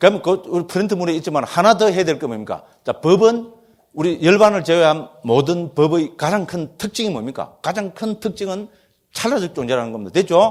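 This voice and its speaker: With a strong Gyeongsang accent, a man speaks in a high, animated voice at a moderate pace. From Gyeongsang region, South Korea. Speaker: Buddhist monk teacher. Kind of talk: lecture.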